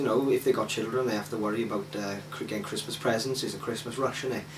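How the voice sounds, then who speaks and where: A man speaks with a South Welsh accent. Audible room echo and noticeable background noise are present. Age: 20s. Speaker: interviewee. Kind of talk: interview. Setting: at home, in his flat. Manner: hesitant, filler-heavy.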